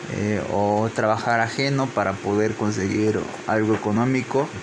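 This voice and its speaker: There is noticeable noise in the background. The man's voice sits at a medium pitch. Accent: Veracruz. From Mexico, Papantla, Veracruz. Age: 20s. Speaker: engineering graduate. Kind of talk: interview. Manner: halting.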